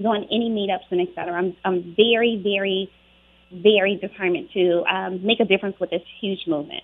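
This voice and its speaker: With an American accent, a woman speaks at medium pitch and a moderate pace, her intonation fairly even. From Charlotte, North Carolina. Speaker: actress and advocate. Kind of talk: radio interview.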